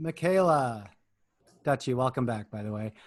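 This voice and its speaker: A man speaks with an American accent and medium pitch. The background is quiet. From Minnesota, US. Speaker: youth soccer coach. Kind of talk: video call team meeting.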